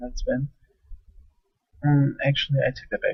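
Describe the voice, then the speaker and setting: A quiet man speaks at a moderate pace. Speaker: game match commentator. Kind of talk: live commentary. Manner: speaking quietly.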